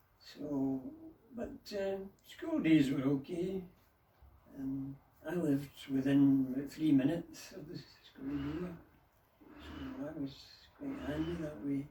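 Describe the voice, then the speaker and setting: This man talks very slowly with a West of Scotland accent. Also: long, frequent pauses. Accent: Scottish (West of Scotland). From Dumbarton, Scotland. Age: 80s+. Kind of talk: interview answer.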